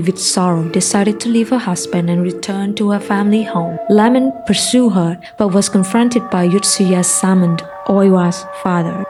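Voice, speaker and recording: Over music in the background, a woman talks at a moderate pace with hardly any pauses, at medium pitch with ordinary pitch variation. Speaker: narrator. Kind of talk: folklore story narration.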